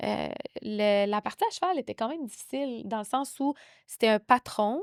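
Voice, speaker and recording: In a Quebec accent, a woman with a fairly high voice and ordinary pitch variation speaks at a moderate pace, recorded very cleanly in a dry, close sound with a silent background and no echo. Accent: Québécois. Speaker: founder of a western pageant organization. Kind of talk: podcast interview. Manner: animated.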